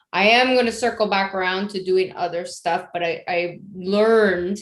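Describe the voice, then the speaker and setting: A woman talks in a plain, everyday voice at a fairly slow pace with fairly even intonation, with a quiet background. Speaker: women's self-development business owner. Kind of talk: casual business pitch on video call.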